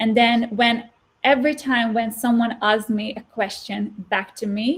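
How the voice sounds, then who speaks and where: A woman speaks at a fairly slow pace in an unremarkable speaking voice with a fairly high pitch. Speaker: former stutterer, guest speaker. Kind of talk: interview answer. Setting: interview.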